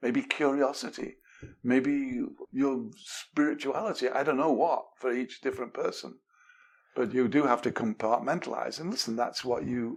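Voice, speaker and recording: A man with an English accent in a medium-pitched voice, ordinary pitch variation and a moderate pace. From England. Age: 70s. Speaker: communication expert, author. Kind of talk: podcast interview. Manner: animated.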